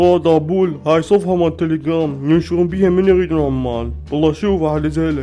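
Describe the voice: A man speaks in a cartoonish character voice at a moderate pace, with hardly any pauses. Clear music plays in the background.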